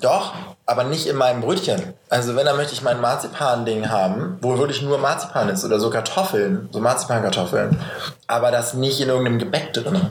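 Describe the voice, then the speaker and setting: A man at a fairly quick pace amid noticeable background noise and audible room echo. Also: medium pitch for a man, lively intonation. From northern Germany. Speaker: podcast host. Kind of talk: casual chat.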